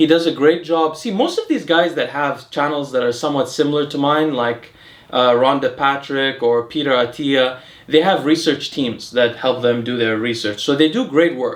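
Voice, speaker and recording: A man with an American accent keeps a moderate speaking tempo. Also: fairly high pitch for a man, ordinary pitch variation. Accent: American accent when saying French words. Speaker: health and longevity YouTuber. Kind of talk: casual educational chat. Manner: casual with many fillers and restarts.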